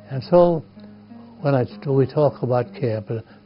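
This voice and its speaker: Behind a man's voice, music is playing. He speaks fairly slowly at a medium pitch, and his pitch varies in an ordinary way. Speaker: camp founding father. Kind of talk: reminiscing talk about history.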